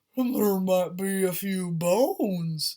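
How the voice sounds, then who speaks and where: Using a put-on character voice, this woman keeps her pitch medium. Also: fairly slow pace. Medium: read story.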